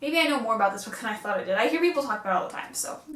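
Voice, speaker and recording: A woman speaks with ordinary pitch variation, with noticeable background noise and audible room echo around her. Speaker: booktuber. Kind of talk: casual vlog book haul. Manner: fast; animated.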